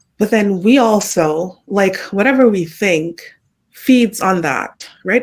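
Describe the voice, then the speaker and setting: On a very clean recording with a silent background, a woman talks with a Jamaican accent and ordinary pitch variation. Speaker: podcast guest. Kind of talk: casual chat.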